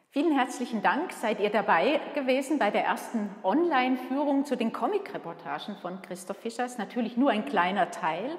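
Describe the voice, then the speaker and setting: In a room with audible echo, a woman speaks at a moderate pace in a high voice, her pitch swinging very widely with hardly any pauses. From Switzerland. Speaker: museum curator and director. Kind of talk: guided museum tour. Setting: museum exhibition room. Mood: warm, friendly. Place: hall. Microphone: camera far.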